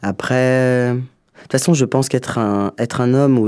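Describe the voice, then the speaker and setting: At a medium pitch, a man speaks with fairly even intonation in a dark, mellow tone. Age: 40s. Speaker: comedian and filmmaker. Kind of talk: interview. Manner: fast.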